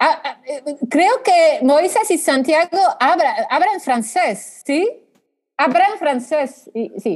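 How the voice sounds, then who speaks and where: Speaking at a very slow pace, a woman uses a high pitch with very wide pitch swings. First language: French (speaking Spanish). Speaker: law professor. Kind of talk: interview on international law. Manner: halting, many repetitions.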